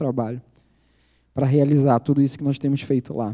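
A man's dark, mellow voice sits at a fairly high pitch, moving at a very fast pace with fairly even intonation. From Brazil, Belém do Pará. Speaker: missionary. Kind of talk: sermon.

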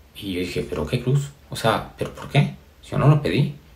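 With audible room echo, a man speaks at a medium pitch and moderate pace. His pitch swings are very wide. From Mexico, Yucatán. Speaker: spiritual speaker. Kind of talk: motivational spiritual talk. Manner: halting, many fillers and repetitions.

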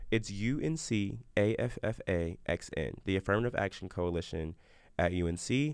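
Over a quiet background, a man with a plain, everyday voice talks at a moderate pace, fairly low in pitch, with lively intonation. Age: 20s. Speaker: college student podcast host. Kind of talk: casual chat.

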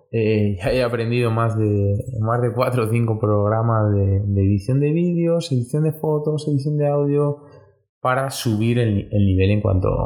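Music plays in the background as a man talks at a fairly slow pace. His pitch is medium, with ordinary pitch variation. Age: 20s. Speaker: personal trainer and sports nutritionist. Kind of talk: solo podcast monologue. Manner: halting, many repetitions and fillers. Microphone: poor audio quality.

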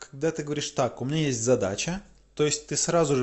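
Fairly high in pitch, a man talks with ordinary pitch variation. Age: 20s. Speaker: video blogger. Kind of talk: casual monologue. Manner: conversational with filler hesitations.

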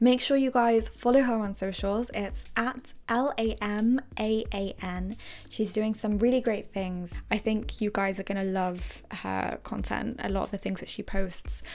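A woman's unremarkable speaking voice at a fairly slow pace with fairly even intonation. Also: medium pitch for a woman, very clean recording, silent background. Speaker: podcast host. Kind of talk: casual chat.

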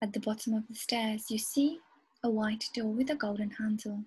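A woman's somewhat breathy voice carries a soothing, gentle tone at a fairly high pitch, with fairly even intonation. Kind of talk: guided hypnosis meditation. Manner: slow, soothing, hypnotic, gentle.

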